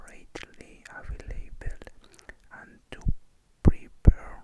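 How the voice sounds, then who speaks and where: The speaker is whispering. The pace is very slow. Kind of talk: whispered reading of an economics or bookkeeping textbook. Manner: halting, hesitant reading with repeated words.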